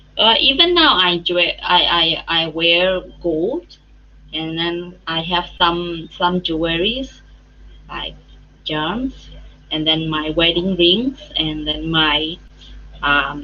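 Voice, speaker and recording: In a Myanmar accent, a woman speaks very slowly at a fairly low pitch, with ordinary pitch variation and long, frequent pauses. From Myanmar, Chin State. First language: Chin. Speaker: English teacher. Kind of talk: interview. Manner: halting.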